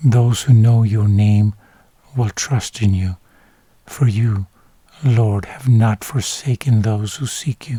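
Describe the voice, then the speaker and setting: A man speaks at a very slow pace with long, frequent pauses, in a calm, dark, mellow tone that is somewhat breathy. His intonation is fairly even, and the sound is dry and close with no echo. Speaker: Bible reader / ASMR narrator. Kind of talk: sleep-aid Bible reading, bilingual English and Spanish. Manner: soft, calm, slow.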